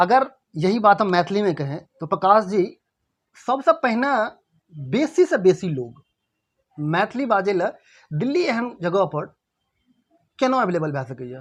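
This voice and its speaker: The speaker talks in a Bihar accent with long, frequent pauses. The background is quiet. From Bihar, India. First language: Maithili (speaking Hindi). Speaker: interviewer. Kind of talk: interview.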